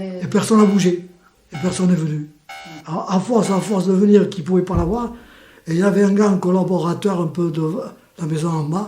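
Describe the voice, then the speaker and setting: Music plays behind a man speaking at a high pitch. His pace is fairly quick and his intonation fairly even. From Spain. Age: 80s+. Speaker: war refugee, witness. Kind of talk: interview answer, personal testimony.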